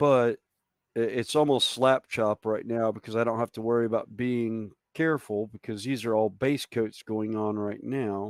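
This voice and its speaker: Someone speaks with an American accent at a moderate pace. The sound is dry and close, with no echo. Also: man, medium pitch for a man. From US South. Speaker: hobbyist miniature painter. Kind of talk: casual chat.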